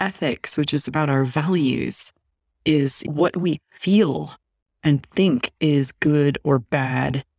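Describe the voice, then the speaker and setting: A woman's very deep, low-pitched voice with an American accent, dry and close with no echo. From Chicago suburbs, US. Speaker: author and researcher. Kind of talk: interview conversation.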